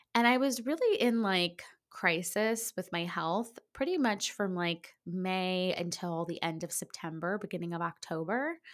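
This woman speaks at a medium pitch with ordinary pitch variation, at a fairly slow pace. She hardly pauses, and the recording is very clean with a silent background. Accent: American. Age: 40s. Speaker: podcast host. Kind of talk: casual solo podcast monologue. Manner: chatty with fillers.

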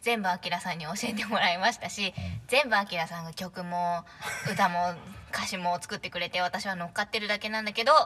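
The speech is quiet and delivered at a moderate pace. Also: woman. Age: 20s. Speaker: vocalist of a poetry reading unit. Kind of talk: casual chat.

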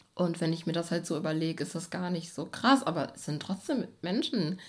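At a moderate pace, a woman with a fairly low pitch speaks with ordinary pitch variation. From Germany, Bochum (Ruhr area). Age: 20s. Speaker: poet. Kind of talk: casual chat. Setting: at home on a sofa.

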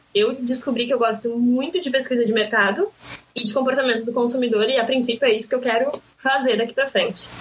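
There is noticeable background noise as a woman speaks at a very fast pace. Her pitch is high and her intonation fairly even. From southern Brazil, Rio Grande do Sul coast. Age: 20s. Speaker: marketing student and pharmacy worker. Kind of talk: casual podcast interview. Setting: remote recording.

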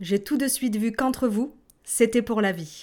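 Her voice fairly high, a woman speaks at a fairly slow pace in a warm, playful tone with lively intonation, on a very clean recording with a silent background. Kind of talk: toast speech at a wedding, read aloud as a language-lesson example. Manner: warm, formal and celebratory, with playful teasing.

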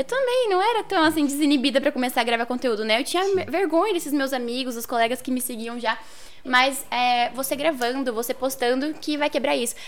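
This woman's pitch is high. She talks at a fairly quick clip. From northern Paraná, Brazil. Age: 20s. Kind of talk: casual interview.

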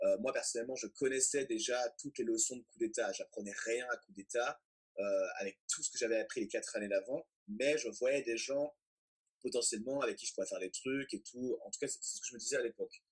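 The speech moves at a fairly quick pace with big swings in loudness, and the sound is dry and close with no echo. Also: man. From Paris suburbs, France. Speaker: crypto entrepreneur. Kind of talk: casual interview.

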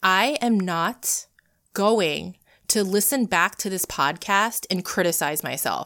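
A woman with an ordinary speaking voice, medium pitch and lively intonation on a very clean recording with a silent background. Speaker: podcast host. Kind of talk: solo podcast monologue. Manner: personal, conversational, earnest.

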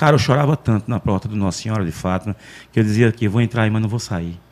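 A man speaks with a fairly low pitch. His pitch variation is ordinary. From Arapiraca, Alagoas, Brazil. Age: 40s. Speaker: street loudspeaker announcer. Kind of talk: casual interview. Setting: studio.

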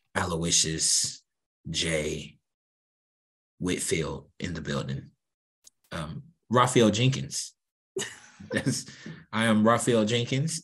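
Putting on a raspy character voice, a man speaks at a fairly low pitch with very wide pitch swings. He goes at a very slow pace, with long, frequent pauses. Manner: suave, late-night radio host.

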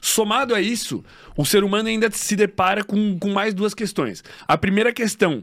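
A man at a fairly quick pace. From Santa Catarina, Brazil (western, Xaxim). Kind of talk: casual interview chat.

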